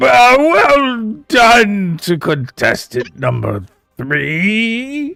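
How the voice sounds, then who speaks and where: Using a put-on character voice, a man speaks at a very slow pace with high pitch and very wide pitch swings while faint music plays in the background. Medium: actual play. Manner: ceremonious, showy.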